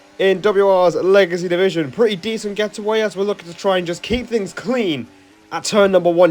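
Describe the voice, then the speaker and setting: Through noticeable background noise, a man with a high pitch talks in an animated tone at a moderate pace. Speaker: sim racing YouTuber. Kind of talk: race commentary over gameplay.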